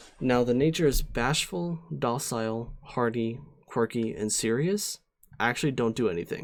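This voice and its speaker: Here is a man with an ordinary speaking voice and a medium pitch. He talks at a moderate pace with lively intonation. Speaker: streamer teaching competitive Pokemon. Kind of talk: live-streamed tutorial. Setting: live stream with chat. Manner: casual, many fillers (um, uh).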